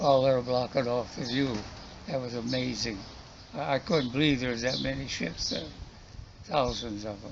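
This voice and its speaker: A medium-pitched man with an American accent at a moderate pace, ordinary pitch variation and long, frequent pauses, over noticeable background noise. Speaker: war veteran. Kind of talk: interview answer.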